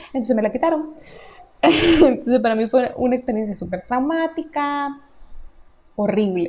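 Over noticeable background noise, a woman with a high voice talks at a moderate pace in an animated tone with lively intonation, leaving long, frequent pauses. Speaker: podcaster. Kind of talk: casual monologue. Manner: animated, laughing.

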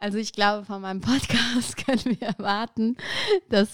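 A woman speaks at a moderate pace in a plain, everyday voice, fairly high in pitch. The sound is dry and close with no echo, in a very clean recording with a silent background. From Aachen, Germany. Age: 30s. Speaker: podcaster. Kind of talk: casual interview.

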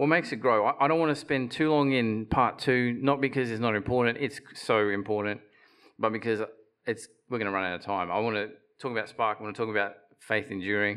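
Speaking at a fairly quick pace, a man with an Australian accent lets his pitch vary in an ordinary way. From Australia, Queensland (Bundaberg). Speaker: preacher. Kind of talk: sermon. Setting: church platform with audience. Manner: halting, repeats words.

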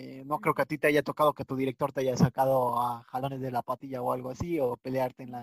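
A man talks at a very fast pace with hardly any pauses, a medium pitch and monotone, flat intonation. His loudness swings a lot, and the sound is dry and close with no echo. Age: 20s. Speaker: podcast host. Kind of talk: casual chat. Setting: video call.

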